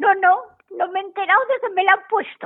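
A woman's voice with an extremely high pitch. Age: 80s+. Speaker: regular radio contributor. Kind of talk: casual chat.

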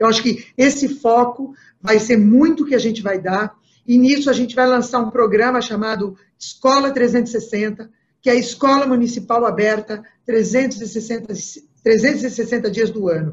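Here a woman talks at a fairly high pitch. Her intonation is fairly even. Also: fairly slow pace. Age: 60s. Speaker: political candidate. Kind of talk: interview. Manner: halting, many fillers.

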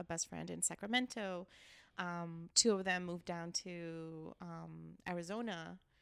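A woman speaks with a Californian accent. Her pace is fairly slow. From Los Angeles, East Hollywood. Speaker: neighborhood council member. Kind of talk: casual interview chat. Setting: learning center.

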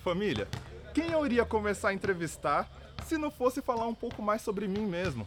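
A man with a high pitch moves through very wide pitch swings at a moderate pace. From São Paulo, Brazil (Taboão da Serra). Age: 20s. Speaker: podcast host and rapper. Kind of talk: news roundup podcast with personal interview segment. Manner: animated.

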